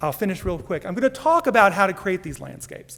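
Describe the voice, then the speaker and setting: A man with a high pitch talks at a fairly quick pace, his pitch swinging very widely. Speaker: entomology research professor. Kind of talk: conference talk. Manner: fast.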